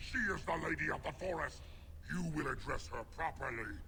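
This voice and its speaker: Over clear background noise, a man performs a put-on character voice at a fairly quick pace. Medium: video game. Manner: growling, stern.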